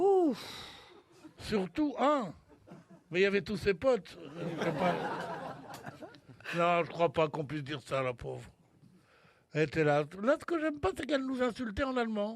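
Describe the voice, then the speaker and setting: A man speaks at a fairly slow pace with long, frequent pauses. His pitch swings very widely, and there is noticeable background noise. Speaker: radio humorist doing monologue sketches on a radio panel show. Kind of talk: comic monologue on a radio show.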